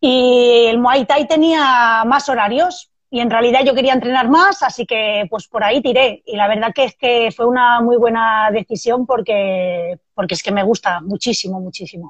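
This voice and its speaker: In an unremarkable speaking voice, a woman talks at a fairly slow pace with hardly any pauses, her pitch fairly high and her intonation lively. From Spain, Barcelona. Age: 30s. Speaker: Muay Thai fighter and self-defence instructor. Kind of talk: casual interview.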